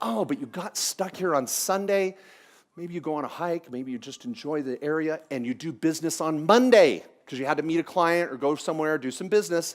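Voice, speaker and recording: A man with an American accent, fairly high-pitched and animated, talking at a fairly quick pace with lively intonation on a very clean recording with a silent background. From US Pacific Northwest (Washington State). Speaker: tax lawyer, seminar speaker. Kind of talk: seminar talk. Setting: conference room with small live audience. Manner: fast.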